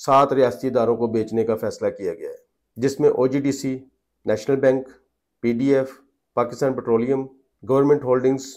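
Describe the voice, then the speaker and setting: The background is quiet while a man speaks at a moderate pace. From Pakistan. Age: 40s. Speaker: journalist and political commentator; journalist, political commentator. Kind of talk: political commentary vlog. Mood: serious, grave. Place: home room. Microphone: lapel.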